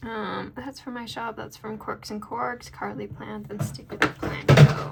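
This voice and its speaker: A soft-spoken woman with a very deep, low pitch talks at a fairly slow pace with very wide pitch swings over noticeable background noise. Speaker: planner video creator and sticker shop owner. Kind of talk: casual chat.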